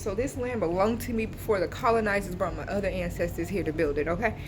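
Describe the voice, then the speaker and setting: Audible room echo carries a woman's animated voice, fairly high in pitch with lively intonation. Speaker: vlogger. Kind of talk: casual vlog rant. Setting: waiting area of a government office. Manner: loud.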